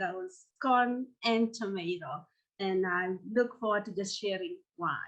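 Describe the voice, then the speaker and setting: With a Kenyan accent, a woman speaks at a fairly slow pace in a bright, sharp tone with lively intonation. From Kenya, coast. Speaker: professor. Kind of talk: lecture. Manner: many filler uh's.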